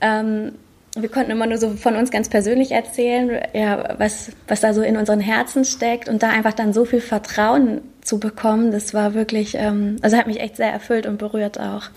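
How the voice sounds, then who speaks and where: Noticeable background noise sits under a woman's voice. She speaks with a fairly high pitch and monotone, flat intonation. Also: moderate pace. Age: 30s. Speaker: pastor. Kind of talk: casual interview chat. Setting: video call.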